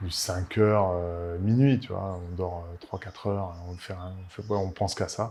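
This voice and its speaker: Speech comes at a fairly slow pace in a somewhat breathy voice with a dark, mellow tone and fairly even intonation. The recording is very clean, with a silent background. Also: man, very deep, low pitch for a man. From Paris, France. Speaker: winemaker. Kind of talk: interview. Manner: halting, many fillers and repetitions.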